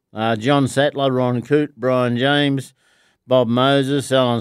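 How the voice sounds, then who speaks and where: A man at a fairly high pitch, very slow pace and monotone, flat intonation, on a very clean recording with a silent background. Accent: Australian. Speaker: charity club member and rugby league fan. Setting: studio.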